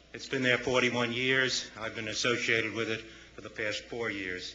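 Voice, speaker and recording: Delivered at a fairly quick pace in an American accent, the monotone, flat speech comes with audible room echo and noticeable background noise. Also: man. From northern US. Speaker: nonprofit board chairman. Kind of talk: public comment at city council. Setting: city council meeting.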